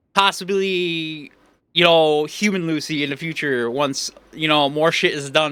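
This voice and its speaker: Loud and shouting, a man with a fairly high pitch and a bright, sharp tone shows ordinary pitch variation on a very clean recording with a silent background. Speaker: VTuber streamer. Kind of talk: live game stream chat. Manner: animated; loud, sounds like yelling.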